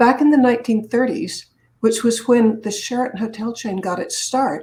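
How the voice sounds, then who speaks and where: In an American accent, a woman speaks at a fairly quick pace with a fairly high pitch, a dark, mellow tone and some breathiness. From Boston area, Massachusetts. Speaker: public speaker and businesswoman. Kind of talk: interview storytelling.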